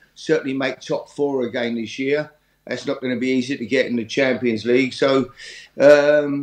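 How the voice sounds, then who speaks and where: Against a quiet background with audible room echo, a man speaks at a moderate pace in a monotone, flat intonation. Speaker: remote guest. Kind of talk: interview answer. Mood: calm, measured opinion. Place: home room. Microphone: headset.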